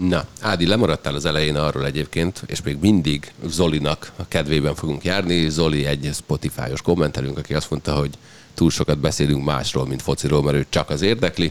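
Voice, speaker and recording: A man speaks with a very deep, low pitch and some vocal fry. His intonation stays fairly even. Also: fairly quick pace. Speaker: sports podcast host. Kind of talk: casual chat.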